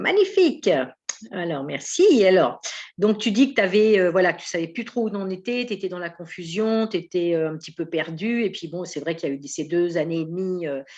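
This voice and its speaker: Her loudness swings widely as a woman speaks at medium pitch. She goes at a fairly quick pace with ordinary pitch variation. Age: 60s. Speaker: spiritual medium and mentor. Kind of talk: interview. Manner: enthusiastic.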